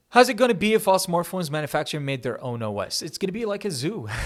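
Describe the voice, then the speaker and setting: A man's voice swings very widely in pitch, captured in a very clean recording with a silent background. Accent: non-native. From Kuwait. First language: Arabic. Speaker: tech YouTuber. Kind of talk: Q&A answering viewer questions. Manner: fast.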